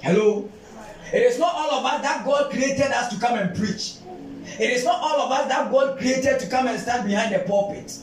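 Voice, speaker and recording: Against noticeable background noise, a man speaks with a Ghanaian accent at a moderate pace. His pitch is extremely high, with ordinary pitch variation. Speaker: pastor. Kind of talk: sermon. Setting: church. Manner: fervent, call-and-response preaching, repeats lines for emphasis; stumbling, repetitive bursts when excited (you must you must).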